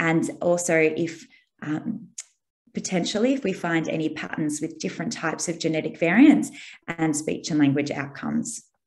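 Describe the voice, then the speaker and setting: Speaking at a moderate pace with lively intonation, a woman has an ordinary speaking voice, fairly low in pitch. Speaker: speech and language researcher. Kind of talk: webinar presentation. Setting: online webinar.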